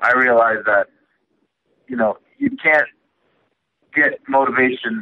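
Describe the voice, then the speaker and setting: Speaking with an American accent, a man uses a medium pitch, ordinary pitch variation and a moderate pace. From Queens, New York. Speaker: mixed martial arts fighter. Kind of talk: podcast interview.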